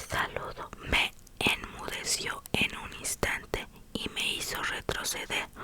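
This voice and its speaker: A woman whispers. Background noise is noticeable. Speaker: ASMR creator. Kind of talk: whispered novel reading. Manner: whispered.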